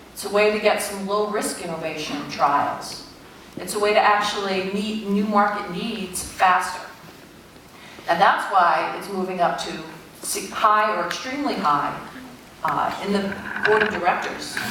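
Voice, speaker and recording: A woman with an American accent at a fairly slow pace, long and frequent pauses, ordinary pitch variation, audible room echo and noticeable background noise. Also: medium pitch for a woman, big swings in loudness. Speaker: tech company executive. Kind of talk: keynote speech. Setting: conference stage with audience.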